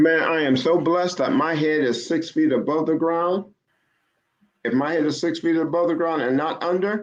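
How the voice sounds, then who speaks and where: Over a quiet background, a man speaks in a normal speaking voice at fairly high pitch, with very even loudness, ordinary pitch variation and a moderate pace. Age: 60s. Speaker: car broker and credit advisor, retired teacher. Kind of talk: casual interview.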